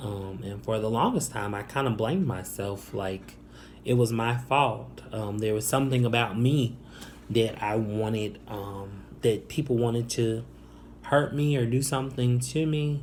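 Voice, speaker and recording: With an American accent, a man speaks at a medium pitch and a fairly slow pace in a somewhat breathy voice. Pitch variation is ordinary, and there is audible room echo. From Northwest Indiana / Chicago area, US Midwest. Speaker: YouTuber. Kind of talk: personal testimony. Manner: halting, many fillers.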